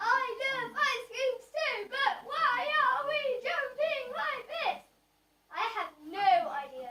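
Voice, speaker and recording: A woman's cartoonish character voice, extremely high in pitch and very slow. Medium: puppet show.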